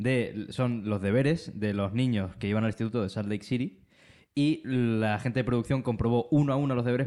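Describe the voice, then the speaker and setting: A man's dark, mellow voice at a medium pitch with ordinary pitch variation and a fairly quick pace, in a very clean recording with a silent background. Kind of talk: casual chat, livestream. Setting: live stream with chat.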